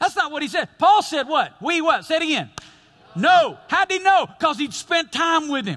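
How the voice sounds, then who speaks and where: A man talks in a raised, projected voice. His tone is bright and sharp, and his pitch is extremely high. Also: ordinary pitch variation, moderate pace. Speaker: pastor. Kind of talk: sermon. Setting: church with live congregation. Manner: animated, call-and-response preaching that draws out audience amens; conversational, humorous, and emphatic, with repeated 'listen to me'.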